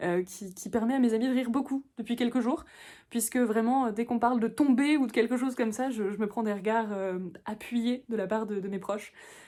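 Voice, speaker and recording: A woman's fairly high voice with a dark, mellow tone at a fairly quick pace, on a very clean recording with a silent background. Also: fairly even intonation. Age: 20s. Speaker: book vlogger. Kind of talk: casual vlog talk to camera. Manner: fast; halting, many fillers and repetitions.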